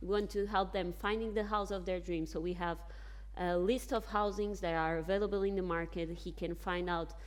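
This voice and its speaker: A woman with a Portuguese accent talks in a space with audible room echo. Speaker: bank executive on a panel. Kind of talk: panel discussion. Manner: halting with fillers and self-corrections.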